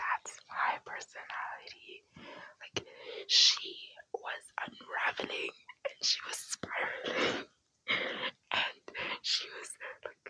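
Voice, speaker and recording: Whispering at a very slow pace, with big swings in loudness. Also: woman. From South Africa. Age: 20s. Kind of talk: ASMR whispered chit-chat. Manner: whispered, soft-spoken.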